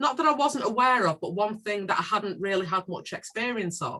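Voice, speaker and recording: A woman speaks with a Manchester accent. Her tone is bright and sharp. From northern England, South Manchester. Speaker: community organisation leader. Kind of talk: panel discussion.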